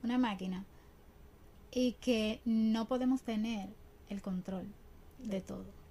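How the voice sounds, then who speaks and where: Very slow, somewhat breathy speech with fairly even intonation and long, frequent pauses. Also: woman, fairly high pitch for a woman. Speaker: ballet dancer and teacher. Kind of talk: interview. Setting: studio.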